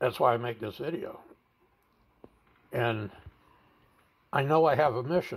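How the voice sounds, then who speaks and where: Somewhat breathy and medium in pitch, a man speaks at a moderate pace with ordinary pitch variation and long, frequent pauses. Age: 70s. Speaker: veteran suicide-prevention advocate and video blogger. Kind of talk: personal testimony monologue.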